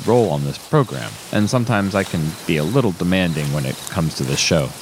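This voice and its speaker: Over noticeable background noise, a man speaks very fast in a nervous tone. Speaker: radio host. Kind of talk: radio DJ patter. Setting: party, broadcasting from a robot party. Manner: rambling, self-deprecating, nervous, halting.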